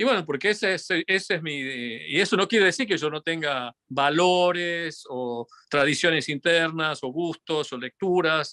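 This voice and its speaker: Recorded with a dry, close sound and no echo, a man with a slight Tucumán accent speaks at a fairly slow pace with hardly any pauses, his fairly high voice bright and sharp in tone, with ordinary pitch variation. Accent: Tucumán Argentine Spanish, somewhat. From Argentina, Tucumán. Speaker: physicist and musician. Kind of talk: interview conversation. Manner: halting, many fillers and restarts.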